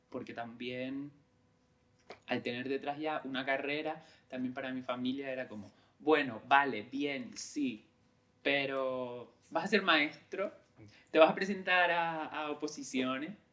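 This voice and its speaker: Long, frequent pauses from a man with a bright, sharp tone, fairly high pitch, ordinary pitch variation and a fairly slow pace. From Lanzarote, Canary Islands (San Bartolomé). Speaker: creative director, former actor. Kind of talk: interview conversation. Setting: recorded in Lanzarote. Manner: halting, many fillers and repetitions.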